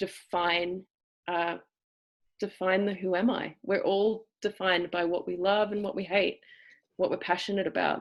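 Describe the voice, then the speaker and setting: A woman with an Australian accent and vocal fry, medium pitch, fairly even intonation, moderate pace. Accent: cultivated Australian. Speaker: acting teacher. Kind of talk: lecture. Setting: video call. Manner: halting.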